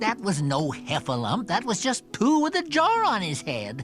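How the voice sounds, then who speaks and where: Over clear music in the background, someone performs a put-on character voice at a middle pitch and moderate pace. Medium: fan dub. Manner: fussy, exasperated.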